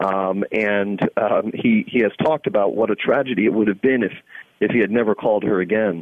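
In an American accent, a man with a normal speaking voice talks at a fairly quick pace and a medium pitch. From New York (Staten Island). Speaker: journalist and author. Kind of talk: interview.

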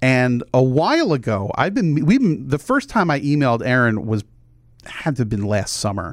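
A man uses an ordinary speaking voice, talking at a moderate pace with lively intonation. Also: medium pitch for a man. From New Jersey. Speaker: podcast host. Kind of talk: casual interview chat.

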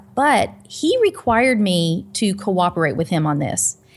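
Vocal fry and lively intonation mark this woman's speech. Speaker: pastor and nutritional counselor. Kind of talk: interview. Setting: video call.

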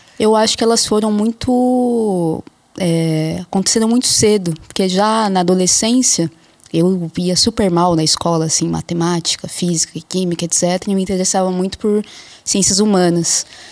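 A woman speaks in a normal speaking voice at medium pitch, with ordinary pitch variation, a moderate pace and very even loudness. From interior of São Paulo state, Brazil. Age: 30s. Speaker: anthropologist. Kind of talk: interview.

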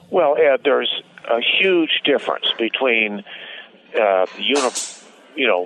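There is noticeable background noise while a man talks at a moderate speed. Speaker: columnist. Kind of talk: interview. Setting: video call.

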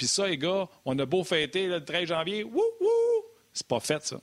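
A man speaks at a moderate pace, captured in a very clean recording with a silent background. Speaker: sports talk show co-host. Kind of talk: casual chat.

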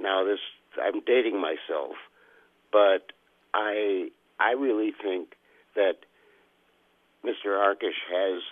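Speaking with an American accent, a man keeps to a fairly slow pace. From Des Moines, Iowa. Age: 60s. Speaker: caller. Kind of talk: casual call-in opinion. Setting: phone call.

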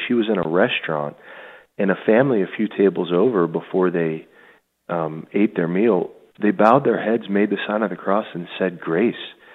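In a normal speaking voice, a man talks at a moderate pace and fairly low pitch with ordinary pitch variation. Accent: American. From Pittsburgh, US. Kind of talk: radio interview, spiritual direction.

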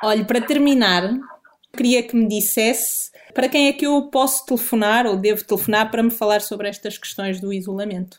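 A woman speaks at a fairly high pitch with a European Portuguese accent. Her pace is fairly quick, with ordinary pitch variation. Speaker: journalist. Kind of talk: interview.

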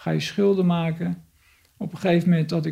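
A man talks at a high pitch with a dark, mellow tone. His intonation stays fairly even. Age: 50s. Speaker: recovering addict. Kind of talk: testimony. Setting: his home. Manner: halting.

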